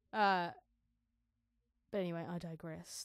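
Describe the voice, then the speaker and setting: Mumbling at a moderate pace, a woman with a fairly low pitch and fairly even intonation is heard in a dry, close sound with no echo on a very clean recording with a silent background. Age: 30s. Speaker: podcast host, songwriter and vocalist. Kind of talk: casual solo podcast monologue. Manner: rambling, thinking out loud.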